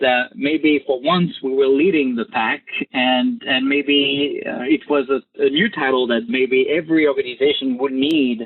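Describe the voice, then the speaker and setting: With a French accent, a man talks at a moderate pace in a fairly high pitch with ordinary pitch variation. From France. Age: 30s. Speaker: government software chief. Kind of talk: interview.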